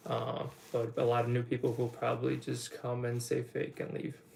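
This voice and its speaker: A man with a slight Polish accent speaks at a moderate pace in a medium pitch, his voice somewhat breathy. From Poland. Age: 20s. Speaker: online business coach. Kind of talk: livestream Q&A. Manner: casual rambling.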